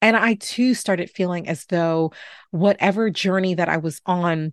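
In a plain, everyday voice with an American accent, the speaker goes at a moderate pace with ordinary pitch variation, the sound dry and close with no echo over a quiet background. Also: woman. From New York City (Bronx). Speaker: podcast host, physician. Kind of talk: podcast monologue.

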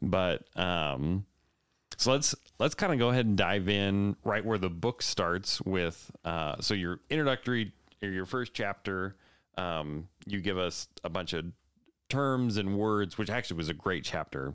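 In a very clean recording with a silent background, an unremarkable speaking voice moves at a fairly slow pace with lively intonation. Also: man, fairly low pitch for a man. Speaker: podcast host. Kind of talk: casual interview conversation.

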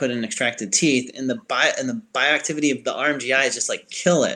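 Speaking with an American accent, a man has a medium pitch and a bright, sharp tone. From Chicago, US Midwest. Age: 30s.

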